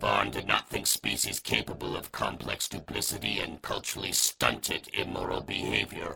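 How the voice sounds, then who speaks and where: A man puts on a character voice with a very deep, low pitch and a moderate pace. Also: hardly any pauses. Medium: audio drama. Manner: clipped, broken phrasing, drops articles.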